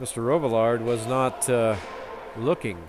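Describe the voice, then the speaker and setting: A man is speaking. There is noticeable noise behind him. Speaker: hockey play-by-play announcer. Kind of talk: live commentary. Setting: ice rink arena.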